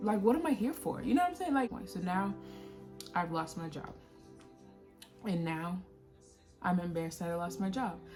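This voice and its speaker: Over music in the background, the speaker uses lively intonation at a moderate pace, with long, frequent pauses. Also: woman, medium pitch for a woman. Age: 20s. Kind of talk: personal testimony talk to camera. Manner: casual, conversational.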